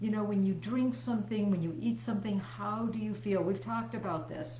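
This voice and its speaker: A woman's fairly low pitch with very wide pitch swings, at a fairly quick pace with hardly any pauses, amid audible room echo and noticeable background noise. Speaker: health coach. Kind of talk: live stream presentation. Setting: live video stream.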